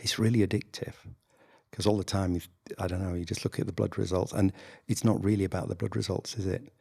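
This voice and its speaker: Speaking at a very fast pace but with long, frequent pauses, a man with a northern English accent has a very deep, low pitch, a somewhat breathy, dark, mellow tone and fairly even intonation. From northern England. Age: 60s. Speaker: general practitioner doctor. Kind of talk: interview conversation. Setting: video podcast.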